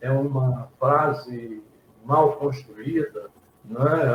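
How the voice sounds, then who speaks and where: A man speaks at a fairly high pitch, his voice somewhat breathy. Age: 60s. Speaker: pastor and theology teacher. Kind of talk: casual chat.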